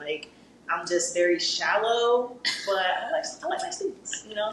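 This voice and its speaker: Amid noticeable background noise and audible room echo, a woman's voice makes very wide pitch swings. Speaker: podcast co-host. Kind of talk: casual chat.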